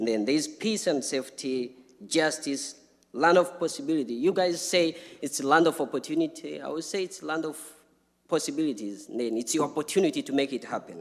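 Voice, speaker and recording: With an African accent, a man speaks at a fairly quick pace and a fairly high pitch, his intonation varying in an ordinary way. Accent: non-native, African. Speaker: refugee speaker. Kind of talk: personal testimony at public talk.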